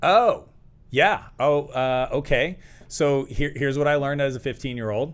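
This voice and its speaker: A man in a plain, everyday voice speaks at a moderate pace, his fairly high pitch showing ordinary pitch variation. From Canada. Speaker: entrepreneur coach and author. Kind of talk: interview storytelling.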